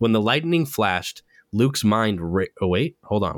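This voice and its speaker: In a very clean recording with a silent background and a dry, close sound free of echo, a man talks in an animated tone at a fairly low pitch. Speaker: podcast host. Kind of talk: casual chat; literary audiobook reading. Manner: animated, fast, casual.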